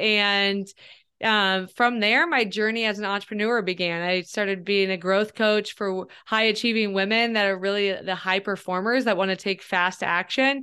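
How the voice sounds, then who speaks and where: Very even in loudness, a woman speaks with an American accent at a medium pitch, moderate pace and fairly even intonation. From US Midwest, Ohio. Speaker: growth coach. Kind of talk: podcast interview.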